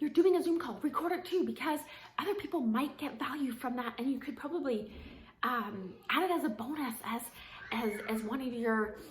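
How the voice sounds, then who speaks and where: A woman's voice at a moderate pace with lively intonation and audible room echo. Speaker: network marketing coach. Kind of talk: casual talk-to-camera tips. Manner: filler-heavy, um and like.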